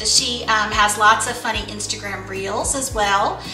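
A woman speaks with ordinary pitch variation over clear music in the background, with audible room echo. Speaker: lifestyle channel host. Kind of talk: casual vlog chat. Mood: friendly, upbeat. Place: kitchen.

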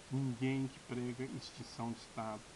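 Noticeable noise runs in the background. A man's speech comes at a fairly slow pace. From Brazil, Minas Gerais. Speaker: political YouTuber. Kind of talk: political commentary monologue. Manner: halting, many fillers. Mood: indignant, critical. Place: home room. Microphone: webcam.

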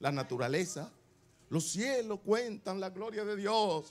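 A man with a raised, projected voice, a high pitch and a bright, sharp tone, animated and with lively intonation, at a fairly slow pace. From Dominican Republic. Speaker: pastor. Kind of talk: sermon. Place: church. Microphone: handheld.

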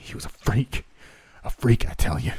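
A man puts on a character voice at a medium pitch, keeping a moderate pace. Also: dry, close sound with no echo. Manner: stammering.

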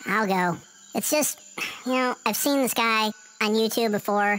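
A female-sounding, cartoonish character voice sits at a fairly high pitch. It moves at a moderate pace. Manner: casual, exasperated.

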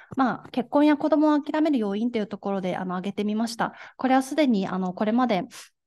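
A woman speaks at a very fast pace with lively intonation, her fairly high pitch carrying a dark, mellow tone over a quiet background. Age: 20s. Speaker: gender equality activist; speaker. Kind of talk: lecture. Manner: formal. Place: hall.

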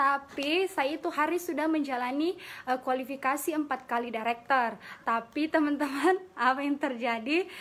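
This woman's voice sits high, and she talks at a medium speed. The rise and fall of her pitch is ordinary. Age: 20s. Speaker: direct-selling business leader; direct-sales business member sharing her story. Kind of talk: motivational talk. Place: office. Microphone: phone near.

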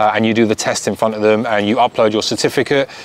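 The recording has light background noise and a dry sound with no echo. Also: man. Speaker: car vlogger. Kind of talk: advice talk to camera. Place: garden.

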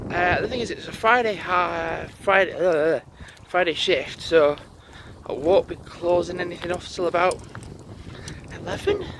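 Noticeable background noise sits behind a man whose recording sounds dry, with no echo. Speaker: vlogger. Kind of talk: casual vlog chat. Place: open country. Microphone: phone near.

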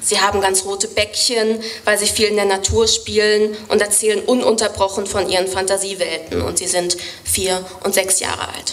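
A woman speaks at a moderate pace. Her intonation is flat and monotone. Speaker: poetry slammer. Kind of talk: poetry slam performance. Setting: live stage. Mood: wry, storytelling. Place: stage. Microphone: studio mic.

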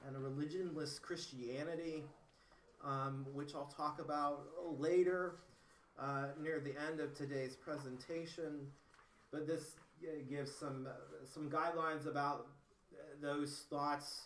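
A man talks at a fairly slow pace in a monotone with flat intonation, leaving long, frequent pauses, with audible room echo and light background noise. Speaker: presenter. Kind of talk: lecture. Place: classroom. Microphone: camera far.

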